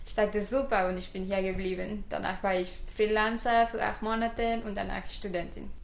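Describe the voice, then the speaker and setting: A woman speaks at a moderate pace with hardly any pauses. Her medium-pitched voice stays fairly even in intonation. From Mexico, Guadalajara. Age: 20s. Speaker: designer and student. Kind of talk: casual interview. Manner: halting, non-native.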